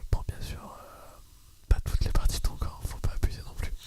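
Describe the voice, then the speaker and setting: A man is whispering. Noticeable background noise sits under his voice. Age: 20s. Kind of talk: casual talk to camera. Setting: home studio microphone. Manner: whispered, soft-spoken.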